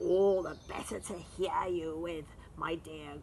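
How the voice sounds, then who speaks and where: A woman growls in a put-on character voice, fairly low in pitch and at a fairly slow pace. Background noise is clear. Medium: read story. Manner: sly, growling.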